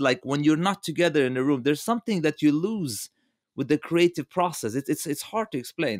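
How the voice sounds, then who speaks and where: Lively intonation marks this man's fairly high voice. The recording is very clean, with a silent background. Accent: non-native. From Lebanon. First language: not English. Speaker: game director. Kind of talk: podcast interview. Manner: animated; halting, many repetitions.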